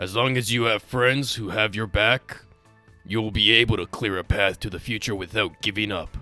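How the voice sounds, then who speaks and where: Putting on a character voice at a medium pitch, a man speaks at a moderate pace with faint music in the background. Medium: dub.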